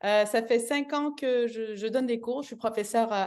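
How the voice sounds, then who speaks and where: A woman with a fairly high pitch speaks in a Canadian French accent. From Canada. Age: 40s. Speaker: yoga teacher. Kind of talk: testimony. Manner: hesitant, many fillers and restarts.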